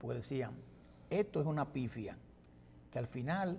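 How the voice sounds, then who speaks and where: Here a man is speaking. His pace is moderate. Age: 60s. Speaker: political commentator. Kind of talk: TV panel discussion. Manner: halting.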